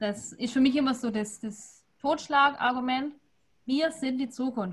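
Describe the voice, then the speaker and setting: This woman speaks in a high voice with fairly even intonation. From Württemberg, near Stuttgart. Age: 20s. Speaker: winemaker. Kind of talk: casual online wine tasting talk.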